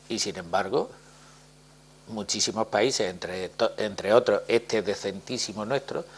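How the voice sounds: A man talks at a fairly slow pace in a fairly low pitch, with ordinary pitch variation and a slightly husky edge.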